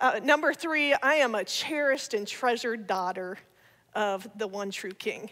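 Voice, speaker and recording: A woman's bright, sharp, animated voice at a moderate pace, with very wide pitch swings over a quiet background. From Ohio. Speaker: speaker, comedian. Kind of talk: testimony talk to church audience. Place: church. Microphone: headset.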